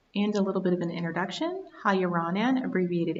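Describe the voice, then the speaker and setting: A somewhat breathy voice rushes along at a very fast pace. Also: woman. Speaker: research scientist. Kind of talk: reading slides aloud.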